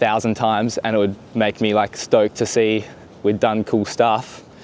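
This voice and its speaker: A man with an Australian accent, fairly low in pitch, with monotone, flat intonation. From Western Australia. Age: 20s. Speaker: foiler and filmmaker. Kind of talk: casual interview.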